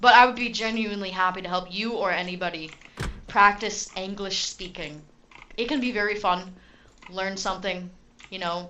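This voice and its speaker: A woman talks fairly quickly in an American accent, with fairly even intonation. Room echo is audible. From Utah, US. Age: 20s. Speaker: gaming streamer. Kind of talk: casual live stream chat and gameplay. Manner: casual, conversational.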